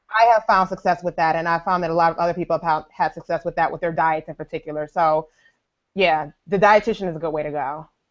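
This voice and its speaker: In an American accent, a woman speaks at a very fast pace with a fairly low pitch and fairly even intonation against a quiet background. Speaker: personal trainer and fitness blogger. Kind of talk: casual chat.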